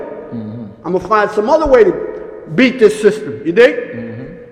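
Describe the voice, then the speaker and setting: An American-accented man over noticeable background noise. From Harlem, New York. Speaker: fashion designer, former hustler. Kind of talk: interview answer.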